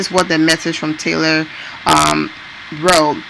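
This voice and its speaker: Woman with a non-native accent over noticeable background noise. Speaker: entertainment news vlogger. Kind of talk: casual talk to camera.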